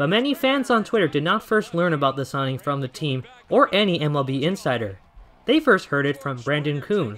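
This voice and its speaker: A man's fairly high voice with lively intonation at a fairly quick pace, against noticeable background noise. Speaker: broadcast reporter. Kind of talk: sports news report.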